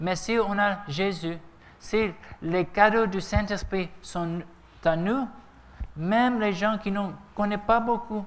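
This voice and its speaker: In a room with audible echo, a man with a high pitch talks at a very slow pace with ordinary pitch variation. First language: English (speaking French). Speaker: preacher. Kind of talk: sermon. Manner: halting.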